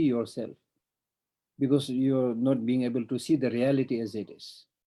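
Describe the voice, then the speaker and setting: Very clean with a silent background, this recording has a man speaking at a medium pitch with a Tibetan accent and a dark, mellow tone. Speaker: Buddhist monk teacher. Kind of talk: dharma teaching.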